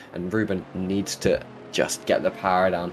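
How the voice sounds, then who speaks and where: Clear background noise fills the recording. A man talks through it. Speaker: sim racing commentator. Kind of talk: live commentary.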